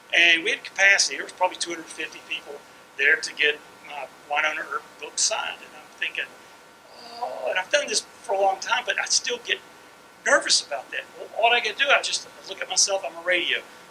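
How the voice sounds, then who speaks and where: A man at a very fast pace, with lively intonation and big swings in loudness over noticeable background noise. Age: 60s. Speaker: comic book writer. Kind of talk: panel talk to students. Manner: halting.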